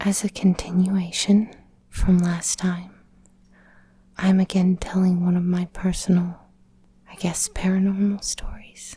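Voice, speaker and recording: Soft-spoken and somewhat breathy, a woman talks at a fairly slow pace in a calm tone, her medium-pitched voice dark and mellow with monotone, flat intonation. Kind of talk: personal story narration. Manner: soft-spoken, calm.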